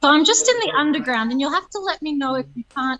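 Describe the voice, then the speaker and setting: A woman talks with an Australian accent. Her pace is very fast and her pitch makes very wide swings. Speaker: nature park ranger. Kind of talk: live field report. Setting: video call from underground viewing area. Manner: loud.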